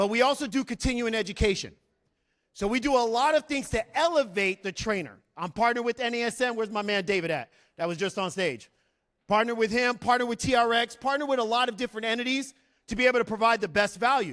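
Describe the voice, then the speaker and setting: Very fast and loud, a man with an American accent speaks in an extremely high pitch, his tone animated and his pitch variation ordinary, on a very clean recording with a silent background. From New York City (Bronx), raised from age eight in Arizona. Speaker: Marine veteran and fitness business owner. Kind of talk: motivational talk. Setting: stage with audience. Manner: high-energy, animated.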